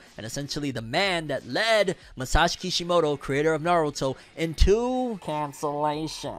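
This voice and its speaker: Putting on a nasal character voice, a man talks at a moderate pace with a fairly high pitch and lively intonation. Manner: droll, grumpy.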